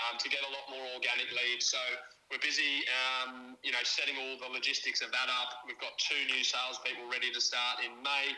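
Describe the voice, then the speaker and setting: A man's flat, monotone voice in an Australian accent at a fairly quick pace, with music in the background. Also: medium pitch for a man. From Australia, country town. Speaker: business owner, solar installer. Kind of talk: interview.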